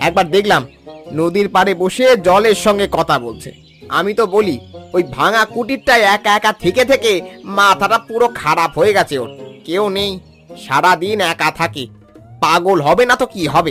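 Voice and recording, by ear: A man puts on a cartoonish character voice pitched high. Faint music plays in the background. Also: lively intonation, fairly slow pace, fairly bright tone.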